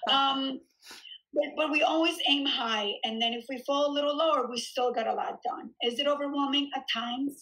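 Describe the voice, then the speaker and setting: A woman with a high pitch speaks in a raised, projected voice at a moderate pace. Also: ordinary pitch variation. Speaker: gym owner and fitness coach. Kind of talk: casual interview chat. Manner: animated.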